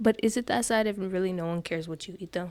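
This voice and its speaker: Her tone dark and mellow, a woman talks at a fairly quick pace with ordinary pitch variation. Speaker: podcast host. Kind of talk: casual monologue. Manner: fast.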